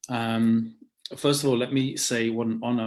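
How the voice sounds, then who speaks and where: A man speaks with an English accent at a medium pitch. His intonation is monotone and flat. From London, England. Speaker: rabbi. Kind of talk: interview conversation. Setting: video call.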